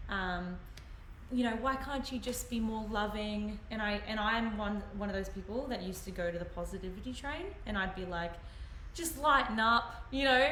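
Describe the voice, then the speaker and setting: A woman with an Australian accent speaks at a moderate pace and fairly high pitch with ordinary pitch variation, amid noticeable background noise and audible room echo. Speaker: livestream host. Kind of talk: casual chat. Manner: quiet; halting. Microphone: quiet on the stream.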